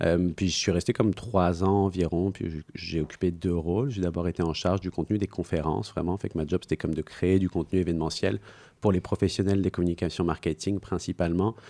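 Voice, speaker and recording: On a very clean recording with a silent background and a dry, close sound with no echo, a man speaks with a very deep, low pitch, a dark, mellow tone and fairly even intonation. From France. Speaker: entrepreneur, speakers agency founder. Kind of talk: podcast interview. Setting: studio. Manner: hesitant, many fillers.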